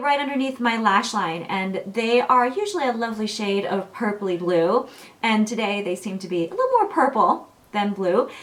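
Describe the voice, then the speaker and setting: A woman's fairly high voice with lively intonation at a moderate pace, plus noticeable background noise. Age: 40s. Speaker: beauty blogger. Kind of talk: product review vlog. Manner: casual, chatty with fillers.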